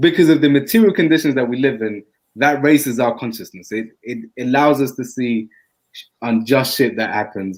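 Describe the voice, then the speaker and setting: His voice sits at a medium pitch. The man's pitch moves with ordinary variation. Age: 30s. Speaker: podcast co-host. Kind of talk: casual chat.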